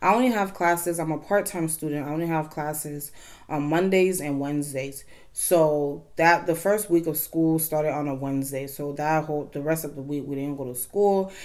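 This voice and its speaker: Against a quiet background, a woman talks at a fairly quick pace. Her pitch is very deep and low, with ordinary pitch variation. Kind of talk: casual vlog chat. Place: home room.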